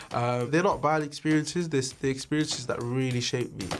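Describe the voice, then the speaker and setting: A man with a Cardiff accent talks with fairly even intonation. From Wales, Cardiff. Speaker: presenter and public speaker. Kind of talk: personal documentary interview.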